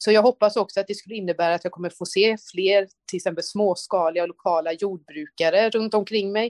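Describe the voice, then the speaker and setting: A woman speaks in an ordinary speaking voice at a medium pitch. Her pace is fairly quick, and the sound is dry and close with no echo. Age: 30s. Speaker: politician. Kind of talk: interview. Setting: remote link.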